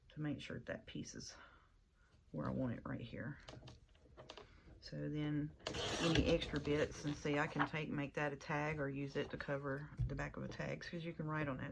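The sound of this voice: A raspy, put-on character voice sits at a low-to-middle pitch. It moves at a moderate pace with long, frequent pauses.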